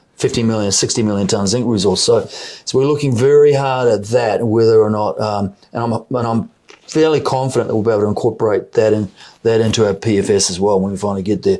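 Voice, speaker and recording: Talking at a very fast pace, a man with a New Zealand accent has a dark, mellow tone. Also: medium pitch for a man, ordinary pitch variation. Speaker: mining company CEO. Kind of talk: interview. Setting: in person interview in London. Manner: halting, many repetitions.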